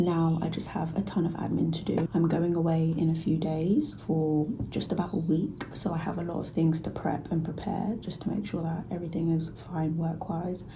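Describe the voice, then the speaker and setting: A soft-spoken whisper in a London accent at a moderate pace with hardly any pauses, amid noticeable background noise and audible room echo. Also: woman. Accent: British English (London). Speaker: vlogger. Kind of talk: casual vlog talk. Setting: private office at work. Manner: whispering, soft.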